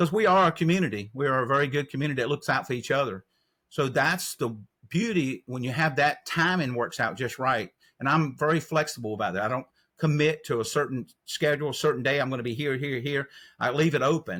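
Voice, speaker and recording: A man talks at a very fast pace in a Southern US accent, his pitch fairly high. His tone is bright and sharp, with ordinary pitch variation. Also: very clean recording, silent background. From North Carolina. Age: 60s. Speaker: trail angel. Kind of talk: interview.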